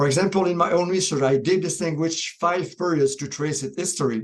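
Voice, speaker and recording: With a Quebec accent, a man speaks at a moderate pace. His pitch variation is ordinary. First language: French. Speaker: professor. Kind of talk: pre-recorded presentation.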